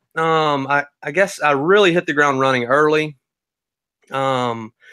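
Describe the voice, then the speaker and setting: In a Southern US accent, a man speaks fairly slowly at a fairly high pitch, his tone bright and sharp with ordinary pitch variation. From US South. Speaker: crypto newsletter creator. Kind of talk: casual chat.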